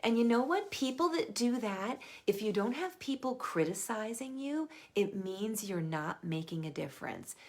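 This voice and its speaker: A woman's fairly high voice with very wide pitch swings at a moderate pace. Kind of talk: live stream sales talk. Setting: Facebook live video. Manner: casual, chatty.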